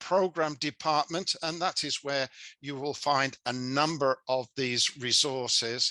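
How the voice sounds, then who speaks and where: Over a quiet background, a man with a fairly high pitch and ordinary pitch variation speaks at a fairly slow pace, his bright, sharp tone heard in a dry, close sound with no echo. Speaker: service club leader, seminar presenter. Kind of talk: seminar presentation. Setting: video call.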